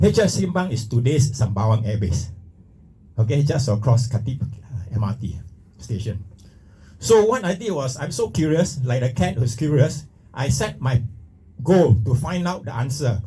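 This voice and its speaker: Somewhat breathy, a man with a dark, mellow tone and medium pitch speaks at a moderate pace with lively intonation and long, frequent pauses. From Singapore. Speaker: retired pilot and speaker. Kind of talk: motivational talk. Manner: halting.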